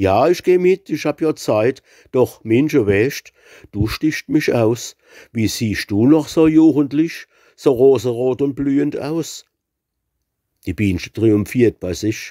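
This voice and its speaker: Long, frequent pauses break up a man's very slow speech, his medium pitch carried with lively intonation and a dark, mellow tone in a dry, close sound with no echo. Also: very clean recording, silent background. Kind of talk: dialect poetry reading.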